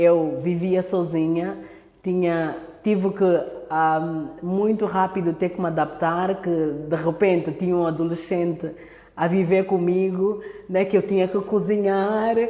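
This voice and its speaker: A woman speaks fairly slowly in a dark, mellow tone with monotone, flat intonation and audible room echo. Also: fairly low pitch for a woman. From Angola. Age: 30s. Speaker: speaker at women's church event. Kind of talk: talk to church women's online meeting.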